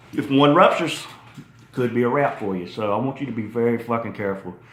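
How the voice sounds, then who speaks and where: Audible room echo surrounds a man's medium-pitched voice. He talks at a fairly quick pace with lively intonation. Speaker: fitness YouTuber. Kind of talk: casual video talk. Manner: profane, conversational.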